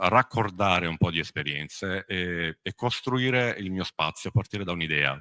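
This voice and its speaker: Very deep, low male voice with a bright, sharp tone, lively intonation and a moderate pace, in a dry, close sound with no echo. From southern Italy, Apulia (Brindisi province). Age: 40s. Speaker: musician and music teacher. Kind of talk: conference talk. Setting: conference hall with audience and interpreters. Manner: hesitant, many fillers.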